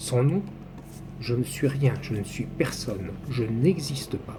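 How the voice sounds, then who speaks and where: Somewhat breathy and dark, mellow in tone, a man talks at a fairly slow pace with ordinary pitch variation. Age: 60s. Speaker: numerology commentator. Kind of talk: personal video monologue.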